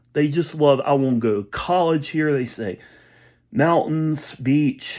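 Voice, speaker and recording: A man at a very slow pace on a very clean recording with a silent background. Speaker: vlogger. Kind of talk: rant. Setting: indoors, room with door shut. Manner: halting; quiet.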